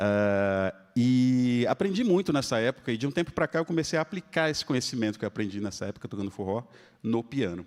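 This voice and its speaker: At a fairly quick pace, a man with a medium-pitched voice swings very widely in pitch, recorded with a dry, close sound and no echo. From Espírito Santo, Brazil (Vitória). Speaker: pianist. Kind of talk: live concert talk between pieces. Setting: stage with audience. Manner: casual, conversational.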